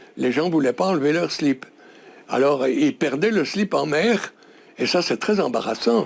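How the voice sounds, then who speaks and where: A fairly high male voice with vocal fry and very wide pitch swings, fairly slow, with long, frequent pauses. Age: 90s. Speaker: inventor. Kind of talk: interview. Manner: halting.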